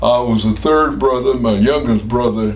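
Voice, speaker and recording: At a moderate pace, a man with an American accent speaks at medium pitch with ordinary pitch variation, amid noticeable background noise and audible room echo. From Cincinnati, Ohio, US Midwest. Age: 90s. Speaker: war veteran. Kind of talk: oral history interview. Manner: halting.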